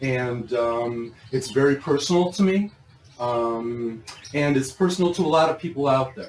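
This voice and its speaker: With lively intonation, a man speaks in a normal speaking voice with an American accent. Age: 60s. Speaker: grow systems business owner and vlogger. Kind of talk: casual chat. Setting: shop showroom.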